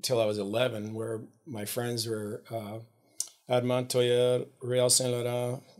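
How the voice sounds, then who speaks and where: A man speaks at a fairly slow pace in a medium-pitched voice with a flat, monotone delivery. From Alberta, Canada (French Canadian town north of Edmonton). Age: 50s. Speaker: adventurer and pilot. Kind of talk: casual interview chat. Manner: halting, many fillers.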